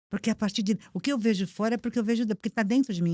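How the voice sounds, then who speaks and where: Her voice somewhat breathy and at medium pitch, a woman comes through with a dry, close sound and no echo. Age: 70s. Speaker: motivational speaker. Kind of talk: podcast interview.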